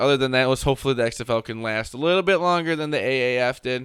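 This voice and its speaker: This man talks at a very fast pace. His pitch is medium, with ordinary variation. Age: 20s. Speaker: sports podcast host. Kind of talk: casual chat.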